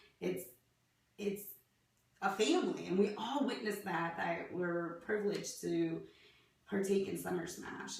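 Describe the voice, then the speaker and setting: Audible room echo around a woman's fairly slow delivery. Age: 30s. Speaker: fitness athlete vlogger. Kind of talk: video application monologue. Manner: animated.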